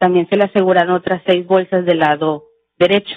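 Against a quiet background, a woman talks at a fairly quick pace with a medium pitch. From Mexico. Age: 20s. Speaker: forensic chemist, expert witness; witness. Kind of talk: court testimony. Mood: formal, calm. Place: hall. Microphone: podium.

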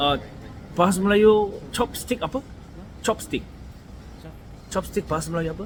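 A man with a Korean accent and a high pitch speaks at a moderate pace with ordinary pitch variation. He leaves long, frequent pauses. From South Korea. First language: Korean (speaking Malay). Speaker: vlogger. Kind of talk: casual vlog talking to camera. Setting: eating at a roadside restaurant; walking outdoors at night. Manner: halting, with many fillers and repetitions.

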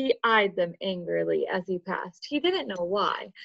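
The clip is plain reading aloud. Nothing else marks the delivery.

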